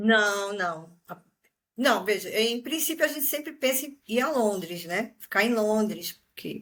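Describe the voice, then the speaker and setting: This woman has a normal speaking voice, fairly high in pitch, with lively intonation. She talks at a fairly slow pace, and her loudness swings widely. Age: 50s. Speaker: retiree, exchange student. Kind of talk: interview.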